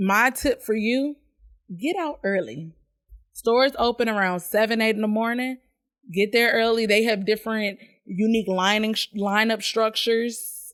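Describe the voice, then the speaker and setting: Speaking in a plain, everyday voice, a woman talks at a moderate pace with a fairly high pitch and ordinary pitch variation. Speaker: podcast host. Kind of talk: live-streamed podcast monologue. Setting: live stream to online audience. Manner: casual, chatty.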